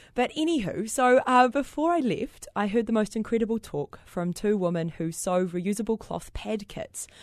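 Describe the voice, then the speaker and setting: Against a quiet background, a woman in a New Zealand accent talks at a fairly quick pace with very wide pitch swings. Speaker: social entrepreneur. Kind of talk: interview. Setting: studio.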